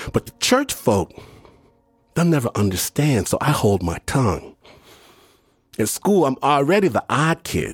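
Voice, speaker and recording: With vocal fry and very wide pitch swings, the voice moves at a fairly slow pace in a dry, close sound with no echo. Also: man. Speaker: podcast host and storyteller. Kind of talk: scripted narration. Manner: dramatic.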